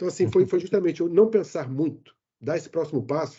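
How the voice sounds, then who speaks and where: Words come from a man at a very fast pace. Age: 60s. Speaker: IT manager and expat. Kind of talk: interview. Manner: animated.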